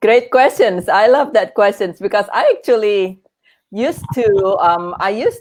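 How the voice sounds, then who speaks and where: This woman speaks with an Indonesian accent. Her pitch sits in the medium range. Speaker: grief coach and author, former oncologist. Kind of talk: interview. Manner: halting, many fillers and restarts.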